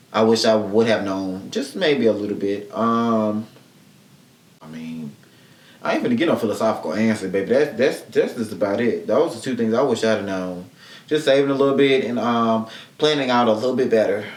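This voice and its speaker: A man with a medium-pitched voice talks fairly quickly with ordinary pitch variation, with audible room echo and noticeable background noise. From Mississippi. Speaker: podcast host. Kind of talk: casual solo podcast chat. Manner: fast.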